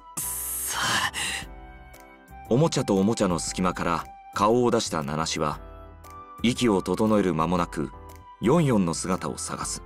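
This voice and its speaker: A man's very deep, low voice, fairly slow with long, frequent pauses and very wide pitch swings, over background music. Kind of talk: narration of a story, reading.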